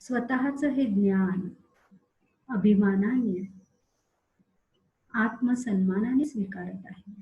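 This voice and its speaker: A somewhat breathy voice of dark, mellow tone, with ordinary pitch variation. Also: woman, medium pitch for a woman. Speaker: meditation guide. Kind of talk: guided meditation.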